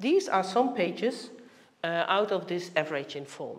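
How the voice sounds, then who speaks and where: Using a medium pitch with very wide swings, a woman with a Dutch accent talks at a moderate pace amid audible room echo. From Netherlands. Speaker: heritage organisation director. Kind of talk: conference presentation.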